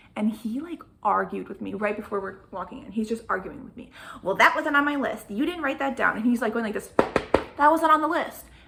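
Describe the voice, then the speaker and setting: Over noticeable background noise, the speaker talks at a fairly quick pace in an animated tone, with lively intonation and big swings in loudness. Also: woman, fairly high pitch for a woman. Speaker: vlogger. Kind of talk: casual chat. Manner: fast.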